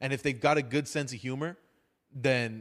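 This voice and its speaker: A man's medium-pitched voice with an American accent, animated in tone, with ordinary pitch variation and a moderate pace, on a very clean recording with a silent background. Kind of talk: casual chat with comedic storytelling.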